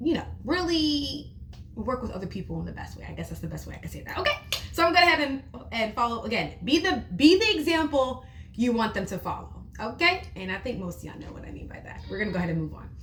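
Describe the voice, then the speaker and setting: With audible room echo, a woman speaks at a very fast pace, her loudness swinging widely. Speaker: teacher and parenting video creator. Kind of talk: casual tutorial monologue. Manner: expressive, conversational.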